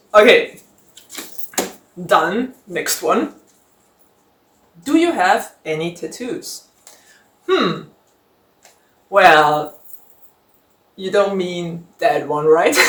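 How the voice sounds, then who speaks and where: Very slow speech with a German accent and long, frequent pauses. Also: woman, medium pitch for a woman, lively intonation. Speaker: book vlogger. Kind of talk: casual Q&A vlog. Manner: conversational with fillers.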